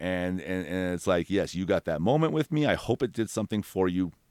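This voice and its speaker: A man with a very deep, low pitch talks at a fairly quick pace in an animated tone. His intonation is lively, and the sound is dry and close with no echo. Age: 40s. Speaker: tree removal business owner. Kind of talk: casual chat. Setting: studio.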